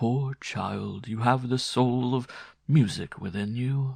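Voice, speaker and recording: Using a put-on character voice at medium pitch, a man speaks at a fairly slow pace. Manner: sad, pitying.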